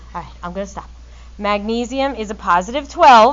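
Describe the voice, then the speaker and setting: A woman is speaking. Her voice is loud. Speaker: chemistry teacher. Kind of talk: classroom lecture. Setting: classroom with students.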